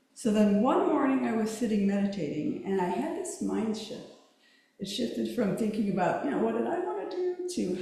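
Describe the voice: In a room with strong echo, a soft-spoken woman at medium pitch talks at a moderate pace with big pitch swings, a dark, mellow tone and vocal fry.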